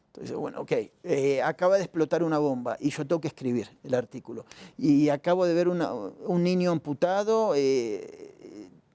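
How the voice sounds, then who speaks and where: In a dry, close sound with no echo, a dark, mellow voice moves at a moderate pace with lively intonation. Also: man, fairly high pitch for a man. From Argentina. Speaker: journalist and strategic consultant. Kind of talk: interview answer. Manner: direct.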